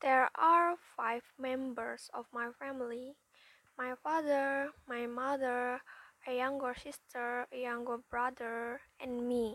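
A woman speaks very slowly in a high pitch with an Indonesian accent, her intonation fairly even. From Indonesia, West Java. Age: young. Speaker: university student. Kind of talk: prepared self-introduction. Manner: halting.

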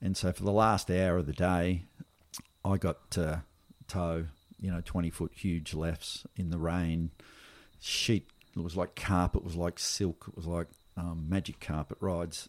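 A man with an Australian accent, very deep and low in pitch, at a fairly slow pace, monotone and flat, with long, frequent pauses. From Melbourne, Australia (western suburbs). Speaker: big wave surfer and environmental activist. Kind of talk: casual interview conversation.

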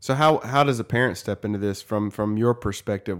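Speaking in a plain, everyday voice, a man talks at a moderate pace and a fairly low pitch with ordinary pitch variation, in a very clean recording with a silent background. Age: 30s. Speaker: podcast host, youth minister. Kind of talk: interview. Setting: studio.

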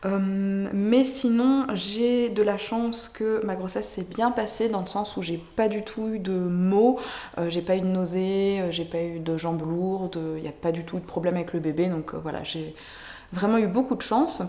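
Noticeable background noise and audible room echo surround a woman's medium-pitched voice. She speaks at a fairly slow pace with ordinary pitch variation. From France. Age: 20s. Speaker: mother sharing birth story. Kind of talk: testimony. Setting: in person. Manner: hesitant, many fillers.

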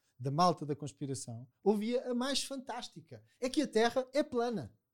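On a very clean recording with a silent background, a man talks at a moderate pace. His pitch swings very widely. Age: 50s. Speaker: psychologist. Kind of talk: casual chat.

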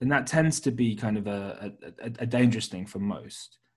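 This man has a British accent. His intonation is lively. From Britain. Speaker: podcast host. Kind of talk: casual interview about markets. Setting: remote call.

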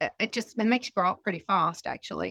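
Against a quiet background, a woman speaks in a bright, sharp tone with an Australian accent. The sound is dry and close, with no echo. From Sydney, Australia. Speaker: financial services executive. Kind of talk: interview, casual chat.

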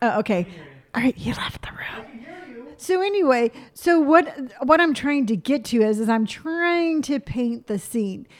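Loudness swings widely and pitch moves in very wide swings. Noticeable background noise runs underneath. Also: woman, high pitch for a woman. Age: 50s. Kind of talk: casual chat.

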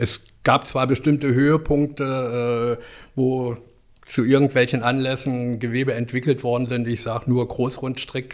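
On a very clean recording with a silent background, a man speaks in a flat monotone at a fairly slow pace. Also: medium pitch for a man. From East Germany. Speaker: fashion retail professional. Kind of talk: interview. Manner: halting.

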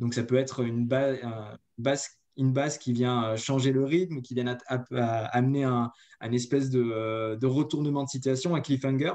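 A man talks at a medium pitch in a dark, mellow tone. His pace is fairly slow and his intonation fairly even. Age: 30s. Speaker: marketing agency co-founder. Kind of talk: interview. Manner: hesitant, many fillers.

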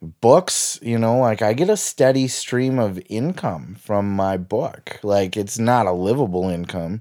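On a very clean recording with a silent background, a man speaks in a dark, mellow tone at a fairly slow pace, with lively intonation and hardly any pauses. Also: fairly low pitch for a man. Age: 30s. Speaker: podcaster and author. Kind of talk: solo audio journal monologue. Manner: rambling, casual.

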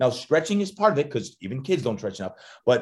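With an American accent, a man speaks in a somewhat breathy voice with very wide pitch swings, on a very clean recording with a silent background. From New Jersey, Jersey Shore. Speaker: strength coach and motivational speaker. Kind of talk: interview. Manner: animated.

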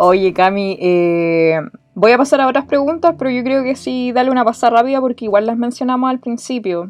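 A woman speaks with a high pitch and a Chilean accent. Her intonation is lively and her pace fairly quick. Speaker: podcast host. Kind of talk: casual chat.

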